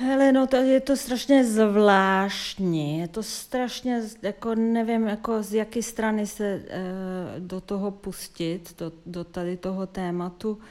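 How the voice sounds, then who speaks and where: A woman with a Serbian accent, medium pitch and ordinary pitch variation, very slow pace with hardly any pauses, on a very clean recording with a silent background. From Yugoslavia (Serbia). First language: Serbian (speaking Czech). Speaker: theatre dramaturg and curator. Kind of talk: interview. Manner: hesitant.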